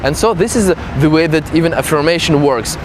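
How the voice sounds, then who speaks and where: Speaking at a fairly quick pace with a non-native accent, a man with a high pitch for a man shows ordinary pitch variation against noticeable background noise. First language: not English. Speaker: self-development coach. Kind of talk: casual talk to camera.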